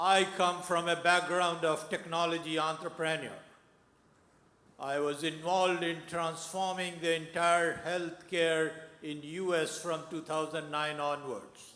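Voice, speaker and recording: Loud and flat in a monotone, the speech moves at a fairly slow pace with audible room echo. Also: man, high pitch for a man. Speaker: audience member, technology entrepreneur. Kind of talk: audience question.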